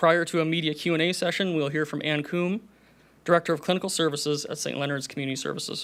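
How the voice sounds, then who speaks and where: Talking at a very fast pace, a man keeps his fairly high voice in fairly even intonation. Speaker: executive director of a community services agency, event emcee. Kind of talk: formal announcement introduction. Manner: formal.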